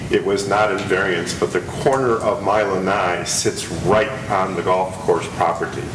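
A man keeps fairly even intonation at a moderate pace, with noticeable background noise behind him. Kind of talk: public comment at a meeting. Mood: polite, earnest request. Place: meeting room. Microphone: podium.

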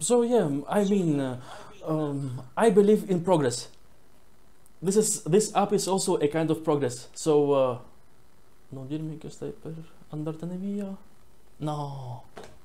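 A man's fairly high-pitched voice with a dark, mellow tone, lively intonation, big swings in loudness, a very slow pace and long, frequent pauses. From northeast Italy, Venice; Italy. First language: Italian. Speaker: traveler chatting with strangers online. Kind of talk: casual chat. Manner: halting. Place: home room. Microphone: earbuds.

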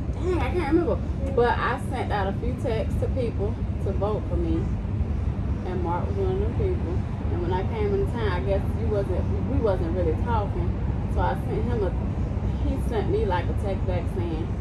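Through loud background noise, a woman speaks at a moderate pace with long, frequent pauses. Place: street. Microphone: phone near.

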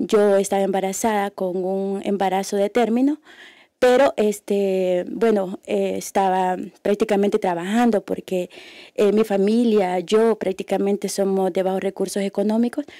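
A woman speaks fairly slowly in a dark, mellow tone. The sound is dry with no echo and the background is quiet. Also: fairly even intonation. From El Salvador. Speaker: activist and former prisoner; guest. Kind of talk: testimony. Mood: serious, emotional recollection. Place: hall. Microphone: podium.

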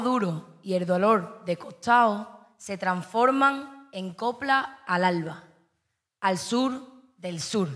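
Everything around is quiet. Speaking very slowly, a woman takes her time. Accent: Andalusian. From Andalusia, Spain. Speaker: slam poet. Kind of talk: poetry performance. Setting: stage with audience. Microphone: handheld.

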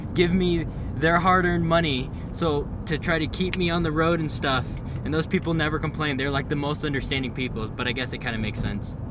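A man talks at a very fast pace. The sound is dry with no echo, though noticeable background noise is present. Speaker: vlogger driving. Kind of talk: casual vlog chat. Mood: cheerful, joking. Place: car. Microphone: phone near.

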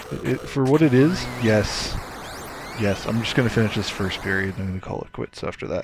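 A man with lively intonation speaks fairly quickly as noticeable background noise carries on behind him. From Canada. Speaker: gaming YouTuber. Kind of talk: casual gameplay commentary. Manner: animated, frequent laughter.

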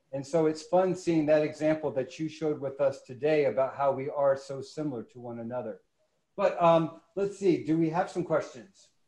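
Audible room echo surrounds a man with a dark, mellow tone and ordinary pitch variation. His loudness swings widely. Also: moderate pace. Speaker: museum education director; webinar host. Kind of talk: webinar moderation. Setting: studio.

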